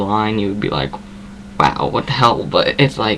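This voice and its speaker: Over noticeable background noise, a man with an American accent talks at a fairly low pitch. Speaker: vlogger. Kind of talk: casual chat. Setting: webcam at home. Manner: filler-heavy.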